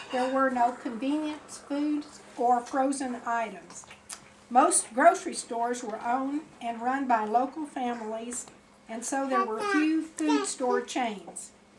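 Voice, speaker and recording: The speaker has an American accent and talks at a very slow pace with ordinary pitch variation. Noticeable background noise runs underneath. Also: woman, high pitch for a woman. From Florida. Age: 70s. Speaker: grandmother telling family history. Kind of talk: reading aloud. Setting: birthday party with family.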